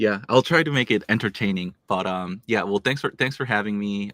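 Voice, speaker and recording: A man with a Korean accent is heard in a very clean, dry, close recording with no echo and a silent background. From South Korea (Seoul), moved to Tennessee at ten. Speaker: tech startup founder and CEO. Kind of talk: interview. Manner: frequent fillers, conversational.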